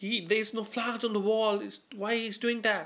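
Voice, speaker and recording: The man's voice has a bright, sharp tone. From South Asia. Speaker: amateur comedian. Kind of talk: stand-up monologue to camera; casual stand-up storytelling vlog. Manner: halting, many fillers and repetitions. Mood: playful, animated storytelling. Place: home room. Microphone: webcam.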